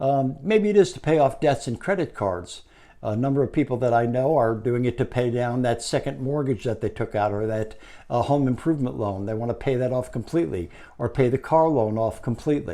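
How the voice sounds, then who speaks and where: Over a silent background on a very clean recording, a man with a dark, mellow tone and medium pitch speaks at a fairly quick pace with ordinary pitch variation. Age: 70s. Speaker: retiree giving business advice. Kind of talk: talking-head advice monologue. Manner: conversational with frequent filler words.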